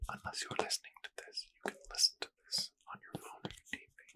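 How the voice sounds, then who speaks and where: A man is speaking. He whispers. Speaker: ASMR creator. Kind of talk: soft-spoken ASMR guided relaxation. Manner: soft, hushed ASMR murmur. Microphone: studio mic.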